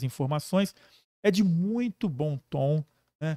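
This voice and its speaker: Dark, mellow tone from a man, recorded dry and close with no echo. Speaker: podcast host. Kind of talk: podcast interview talk.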